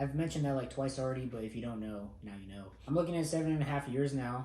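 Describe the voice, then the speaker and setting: Audible room echo carries a man's dark, mellow voice. He is somewhat breathy at a medium pitch, with ordinary pitch variation. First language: not English. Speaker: air force airman and family vlogger. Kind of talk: vlog monologue. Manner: casual.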